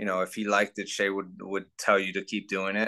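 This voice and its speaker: Against a quiet background, a man speaks at a moderate pace. His tone is bright and sharp. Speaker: actor interviewee. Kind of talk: interview answer. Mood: relaxed, amused. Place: home room. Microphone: video call.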